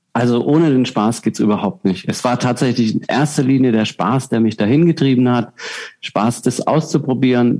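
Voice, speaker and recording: A man speaks at a fairly quick pace in a medium pitch, with ordinary pitch variation and noticeable background noise. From southern Germany. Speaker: professional juggler and keynote speaker. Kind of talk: interview.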